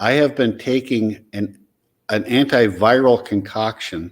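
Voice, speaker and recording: Speaking at a very slow pace, a man has a fairly low voice with ordinary pitch variation. He talks with an American accent. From US Upper Midwest, Upper Michigan. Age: 60s. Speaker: patient sharing experience. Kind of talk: interview testimony.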